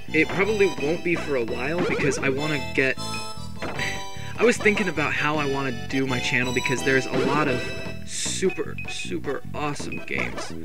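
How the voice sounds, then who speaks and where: Loud music plays in the background as the speaker talks at a moderate pace. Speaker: gaming let's play commentator. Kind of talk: casual gameplay commentary. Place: home room.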